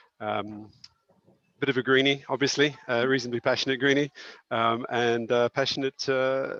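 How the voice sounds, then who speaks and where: Man with a New Zealand accent, medium pitch, monotone, flat intonation and a moderate pace, in a dry, close sound with no echo. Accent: New Zealand accent, still audible. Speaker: school principal. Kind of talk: webinar panel discussion.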